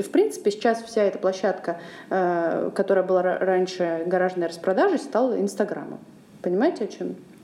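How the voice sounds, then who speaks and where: At a moderate pace, a woman talks in an unremarkable speaking voice at medium pitch with ordinary pitch variation. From Russia, Saint Petersburg. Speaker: podcast host, charity program coordinator. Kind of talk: casual chat.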